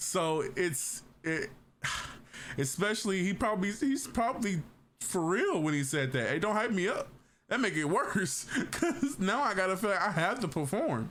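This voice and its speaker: Amid noticeable background noise and audible room echo, a man speaks at a high pitch and a moderate pace, with very wide pitch swings and very even loudness. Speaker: streamer reacting to videos. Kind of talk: casual reaction commentary. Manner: halting, stuttering.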